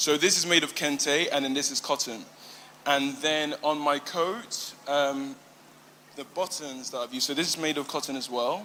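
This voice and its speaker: Through noticeable background noise, a man with a British accent speaks at a fairly high pitch with fairly even intonation. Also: moderate pace. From UK, Ghanaian and Igbo heritage. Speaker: emerging fashion designer. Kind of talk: pitch presentation. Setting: live fashion event with judges. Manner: halting, many fillers.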